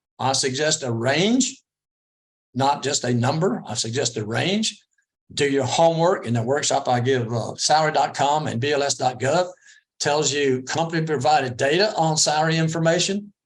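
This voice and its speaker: This man's pitch is fairly high and his voice somewhat breathy. He keeps a moderate pace with ordinary pitch variation. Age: 60s. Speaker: interview coach. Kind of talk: presentation.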